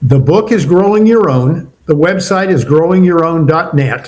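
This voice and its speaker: A somewhat breathy male voice at a moderate pace, with ordinary pitch variation. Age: 70s. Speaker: retired entrepreneur and leadership mentor. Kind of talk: podcast interview.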